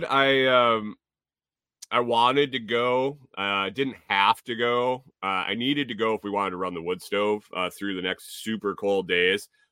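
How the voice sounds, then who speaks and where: The speaker is a man with an American accent. He talks at a fairly slow pace. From US Northeast (Connecticut). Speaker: podcast host. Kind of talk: casual livestream chat. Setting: home livestream with chat. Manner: casual, many fillers and repetitions.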